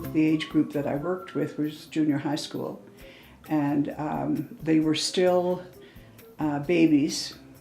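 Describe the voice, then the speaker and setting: With a Canadian accent and fairly even intonation, the speaker goes at a very slow pace while music plays in the background. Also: woman, very deep, low pitch for a woman. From Canada, Calgary. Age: 70s. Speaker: retired teacher. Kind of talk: interview testimony. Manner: hesitant fillers.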